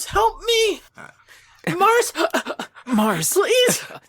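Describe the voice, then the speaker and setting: A cartoonish character voice squeaks out at an extremely high pitch. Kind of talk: anime voice. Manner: pleading, dramatic.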